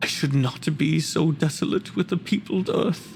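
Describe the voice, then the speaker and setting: At a moderate pace, someone uses a put-on character voice at a middle pitch over clear background noise. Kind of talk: dramatic monologue performance.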